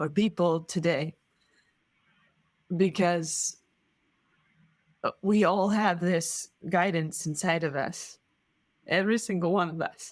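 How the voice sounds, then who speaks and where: Very slowly and with long, frequent pauses, a woman speaks in a non-native accent. Her intonation is fairly even, and the recording is very clean with a silent background. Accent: foreign, described as gorgeous. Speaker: sailor. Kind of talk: interview answer. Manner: reflective, hesitant.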